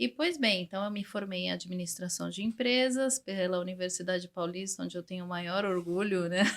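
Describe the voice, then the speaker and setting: With an ordinary speaking voice, a woman talks at a fairly quick pace in a medium pitch, using ordinary pitch variation and hardly any pauses. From Brazil, São Paulo. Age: 40s. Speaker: English teacher. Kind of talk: interview.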